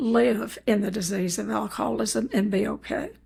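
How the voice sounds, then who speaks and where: Vocal fry runs through this woman's fairly high voice. She keeps a moderate pace. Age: 80s+. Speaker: eating disorder recovery counselor. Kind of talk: interview.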